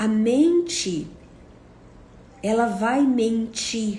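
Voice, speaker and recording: A somewhat breathy woman's voice, fairly high in pitch, with audible room echo. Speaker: psychotherapist. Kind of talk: monologue talk to camera. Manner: slow.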